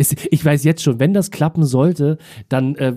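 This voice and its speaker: The recording is very clean and the background silent. A man talks in a dark, mellow tone, his pitch varying in an ordinary way. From Berlin. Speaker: musician and online talk show host. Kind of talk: casual interview.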